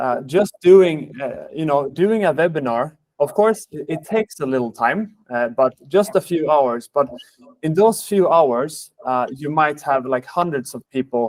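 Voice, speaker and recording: Speaking with a Swedish accent, a man talks at a fairly slow pace with a fairly high pitch. His intonation is lively, and the sound is dry and close with no echo. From Sweden. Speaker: sales manager, webinar host. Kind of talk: webinar presentation. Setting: online webinar. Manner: hesitant, many fillers.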